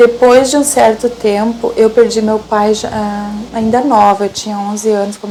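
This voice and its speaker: A woman speaks at a fairly high pitch and a moderate pace. Her intonation is fairly even, and there is noticeable background noise. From southern Brazil, Rio Grande do Sul interior. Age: 60s. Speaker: lay catechist and traffic documentation clerk. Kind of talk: personal testimony. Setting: her office. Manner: halting, many repetitions and fillers.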